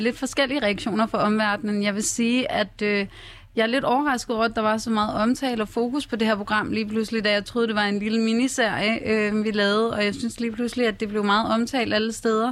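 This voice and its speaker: A woman speaks at a fairly high pitch and a fairly quick pace. Her intonation is monotone and flat, and her loudness stays very even. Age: 20s. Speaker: hairdresser and reality TV participant. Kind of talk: radio interview. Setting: radio studio.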